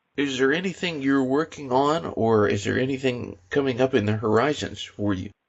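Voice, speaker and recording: This man has a plain, everyday voice, pitched in the middle for a man, moving at a moderate pace with ordinary pitch variation. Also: hardly any pauses. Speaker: radio interviewer, host. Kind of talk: interview questions.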